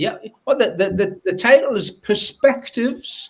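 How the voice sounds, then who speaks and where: A man at a fairly slow pace with a northern English accent. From northern England. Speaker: academic researcher. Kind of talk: panel discussion. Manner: halting.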